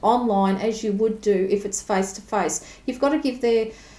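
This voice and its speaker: A woman's fairly high voice with an Australian accent at a moderate pace. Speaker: tarot reader. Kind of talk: tutorial. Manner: casual, conversational.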